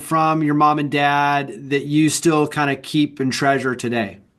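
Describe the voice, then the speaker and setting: Speaking at a middling speed, a man uses an ordinary speaking voice with an American accent. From Texas. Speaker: podcast host. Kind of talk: interview podcast.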